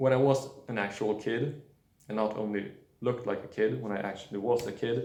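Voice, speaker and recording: A man speaks with a non-native accent in a dark, mellow tone. Audible room echo surrounds his voice. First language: not English. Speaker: nutrition video creator. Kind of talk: casual monologue. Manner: halting, many fillers.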